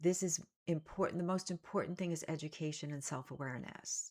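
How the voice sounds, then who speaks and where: A woman's unremarkable speaking voice, fairly low in pitch, with fairly even intonation at a moderate pace. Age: 60s. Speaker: self-help coach. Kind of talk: motivational talk to camera.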